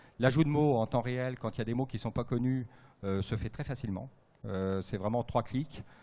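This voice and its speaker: The man's voice has a dark, mellow tone and a medium pitch with ordinary variation. The background is quiet. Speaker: radiologist. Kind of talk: panel talk at trade fair. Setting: trade fair stage with audience. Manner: fast; hesitant, many fillers.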